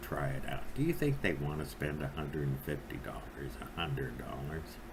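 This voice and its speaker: Speaking at a moderate pace with lively intonation, a man is heard through noticeable background noise and audible room echo. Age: 60s. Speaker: vape reviewer. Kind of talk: product review monologue. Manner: rambling with many fillers and hesitations.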